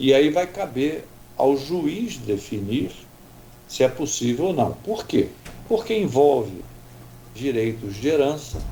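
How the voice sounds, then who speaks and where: The man talks at a very slow pace with long, frequent pauses. His tone is dark and mellow, with very wide pitch swings. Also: fairly high pitch for a man. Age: 70s. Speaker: doctor. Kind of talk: radio interview.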